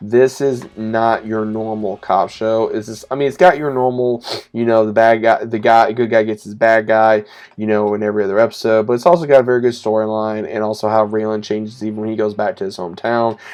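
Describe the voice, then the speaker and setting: A man with an American accent, fairly quick pace and fairly even intonation, over a quiet background. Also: medium pitch for a man. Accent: Southern US, noticeable at times. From US South. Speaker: YouTuber, TV show reviewer. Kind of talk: casual video review. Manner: casual, with filler words and self-corrections.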